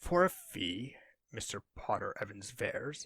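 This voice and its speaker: Fairly high-pitched put-on character voice from a man, delivered at a moderate pace. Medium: read story. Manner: proud, shrewd.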